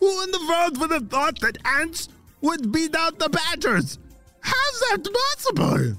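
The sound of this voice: Faint music plays while a man in a put-on character voice goes extremely high with very wide pitch swings, a bright, sharp tone and a fairly slow pace.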